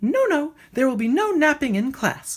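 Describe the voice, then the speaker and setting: A female-sounding voice with a high pitch for a woman does a put-on character voice at a moderate pace. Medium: read story. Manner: enthusiastic, chirpy.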